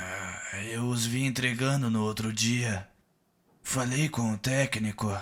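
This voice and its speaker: This very clean recording has a silent background. A man speaks in a put-on character voice at a fairly slow pace. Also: medium pitch for a man. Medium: short film. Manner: casual, cagey.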